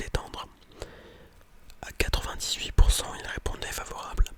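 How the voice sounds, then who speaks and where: Noticeable background noise is present. Over it, a man whispers. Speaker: ASMR content creator and student. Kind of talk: whispered ASMR reading and commentary on a scientific article. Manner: whispered, soft-spoken, casual.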